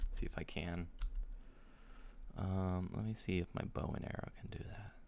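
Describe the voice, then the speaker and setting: A man's very deep, low voice with vocal fry, lively intonation and a fairly slow pace. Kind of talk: casual gaming talk. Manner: calm, loving.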